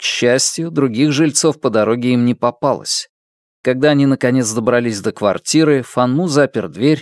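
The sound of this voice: An unforced reading voice is heard. The background is quiet.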